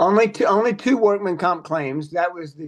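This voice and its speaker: A man with a plain, everyday voice, lively intonation, and a moderate pace. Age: 50s. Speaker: TV morning show personality. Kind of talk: casual chat.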